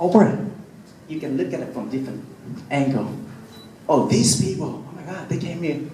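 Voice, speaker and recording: Amid noticeable background noise and audible room echo, a man with a non-native accent talks at a moderate pace with lively intonation, big swings in loudness, and long, frequent pauses. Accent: non-native English, self-described imperfect. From Vietnam. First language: Vietnamese. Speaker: city councilman. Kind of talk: public speech. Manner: halting, repeats words.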